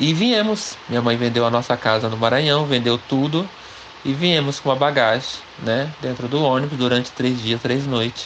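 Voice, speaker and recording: Noticeable background noise behind a male speaker, moderately paced, his pitch varying in an ordinary way. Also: medium pitch for a man. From interior of São Paulo state, Pindamonhangaba. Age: 40s. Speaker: interviewee telling his life story. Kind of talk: life-story interview.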